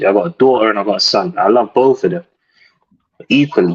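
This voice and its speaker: A man with a British accent, medium pitch, ordinary pitch variation and a fairly quick pace. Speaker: caller. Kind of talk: casual chat. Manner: animated.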